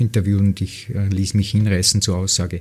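This man's voice sits fairly low and stays monotone with flat intonation. Noticeable background noise runs behind him. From Lower Austria, near Wiener Neustadt. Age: 50s. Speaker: football pundit and former coach. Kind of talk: interview conversation.

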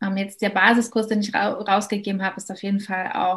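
A woman speaks in a normal speaking voice at a medium pitch. Her pace is moderate. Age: 30s. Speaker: educator. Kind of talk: interview.

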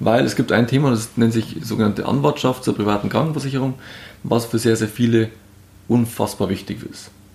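This man's voice is somewhat breathy and medium in pitch. He talks at a fairly quick pace. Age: 30s. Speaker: insurance advisor. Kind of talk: interview. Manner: animated.

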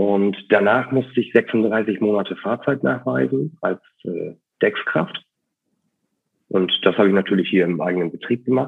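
A man with a normal speaking voice, fairly low pitch, lively intonation and a fairly slow pace. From northern Germany, East Frisia coast. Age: 30s. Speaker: ship captain running a sea burial company. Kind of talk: interview.

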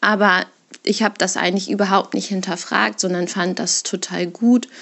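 Using vocal fry, a woman at medium pitch speaks at a moderate pace with fairly even intonation. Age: 30s. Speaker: parent sharing separation experience. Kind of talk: personal monologue, recorded testimony. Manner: hesitant, many fillers.

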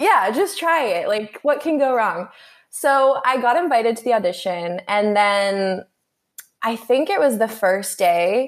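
Her pitch is high, and this woman's voice swings very widely in pitch. She talks at a fairly slow pace with very even loudness. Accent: American. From Canada, later Texas from age 13. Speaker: dancer. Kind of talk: interview.

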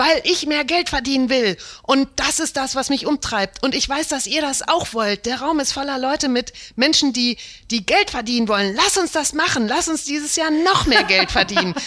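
A woman projects a raised, high-pitched voice with a bright, sharp tone. Her intonation is lively and her pace moderate. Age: 40s. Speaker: management consultant. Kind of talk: interview.

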